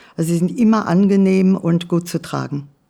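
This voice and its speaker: In a very clean recording with a silent background, a woman speaks at a fairly slow pace with a fairly low pitch, a dark, mellow tone and fairly even intonation. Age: 80s+. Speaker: hearing aid user. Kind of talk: testimonial interview. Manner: halting, frequent fillers.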